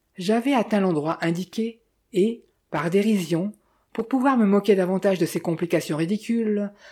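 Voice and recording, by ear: Against a quiet background, someone is reading aloud in a natural voice, with ordinary pitch variation.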